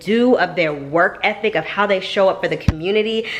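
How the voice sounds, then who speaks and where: Over noticeable background noise, a woman at medium pitch talks at a fairly quick pace with lively intonation. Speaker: family vlogger. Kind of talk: casual vlog chat. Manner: fast; chatty.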